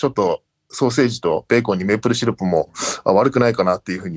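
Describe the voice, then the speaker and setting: The recording of a man has a dry, close sound with no echo. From Japan (grew up in Japan from age 3, teens in Canada). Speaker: rugby assistant coach. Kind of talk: interview.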